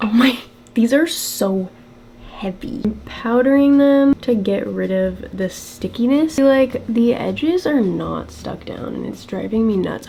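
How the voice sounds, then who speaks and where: Noticeable noise fills the background while a woman talks fairly slowly. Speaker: beauty and costume vlogger. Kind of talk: casual vlog talk while doing makeup.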